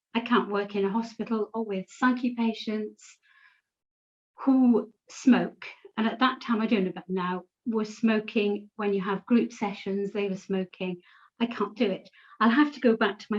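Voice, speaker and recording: This somewhat breathy voice moves at a fairly slow pace, its loudness swinging widely while the intonation stays fairly even. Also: woman. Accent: British. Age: 60s. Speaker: patient sharing her experience. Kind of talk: personal testimony.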